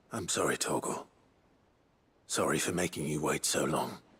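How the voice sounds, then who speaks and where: Here a man does a raspy, put-on character voice. It sits very deep and low, delivered at a moderate pace. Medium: video game.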